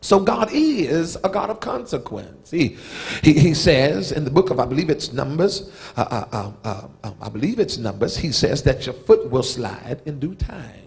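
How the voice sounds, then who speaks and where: Big swings in loudness, very wide pitch swings and a moderate pace. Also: man. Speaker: preacher. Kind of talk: sermon. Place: church. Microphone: handheld.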